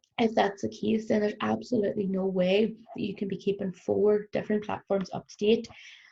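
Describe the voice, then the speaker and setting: With a Northern Irish accent and vocal fry, a woman at medium pitch talks at a fairly quick pace with hardly any pauses, monotone, flat intonation and big swings in loudness. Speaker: business trainer. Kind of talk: recorded workshop presentation. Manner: fast.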